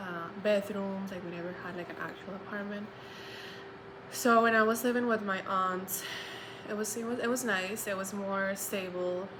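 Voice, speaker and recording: Speech comes at a moderate pace in a monotone, flat intonation, with noticeable background noise and audible room echo. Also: woman. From Colombia. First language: Spanish. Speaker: social work graduate student. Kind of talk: personal testimony. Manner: halting, many fillers.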